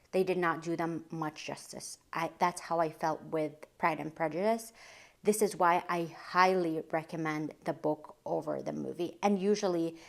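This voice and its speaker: At a moderate pace, a woman talks in a normal speaking voice, fairly low in pitch with fairly even intonation. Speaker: lifestyle vlogger. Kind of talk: casual book recommendation vlog.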